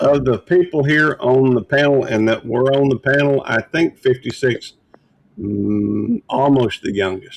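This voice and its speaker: A man's ordinary speaking voice, medium in pitch with ordinary pitch variation, at a fairly slow pace, in a dry, close sound with no echo. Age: 60s. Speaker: livestream host. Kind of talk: casual chat.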